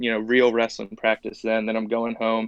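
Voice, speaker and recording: Monotone, flat intonation marks a man talking at a medium pitch. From Oklahoma, US South. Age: 20s. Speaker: professional MMA fighter. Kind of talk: casual interview.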